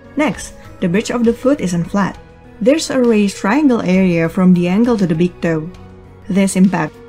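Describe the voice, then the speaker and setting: Music plays in the background while a woman talks at a moderate pace, her intonation lively. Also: medium pitch for a woman. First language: non-native English speaker. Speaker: digital art tutorial creator. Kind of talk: art tutorial narration.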